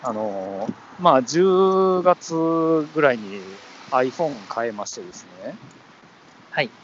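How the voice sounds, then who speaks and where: Over noticeable background noise, a man with a fairly high pitch speaks very slowly, with very wide pitch swings, big swings in loudness, and long, frequent pauses. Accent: Kansai. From Osaka, Japan. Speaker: podcast co-host. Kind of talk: casual chat. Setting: remote call.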